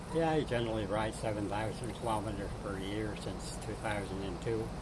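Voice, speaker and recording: A man's fairly low pitch with ordinary pitch variation and a fairly quick pace, amid noticeable background noise. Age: 70s. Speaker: long-distance cyclist. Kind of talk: interview answers. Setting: restaurant.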